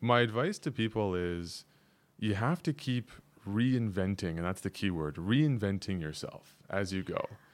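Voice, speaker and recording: A man talks at a fairly slow pace in a plain, everyday voice with a Canadian accent. His pitch is fairly low and his intonation lively. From Canada. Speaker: actor and model. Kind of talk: casual chat.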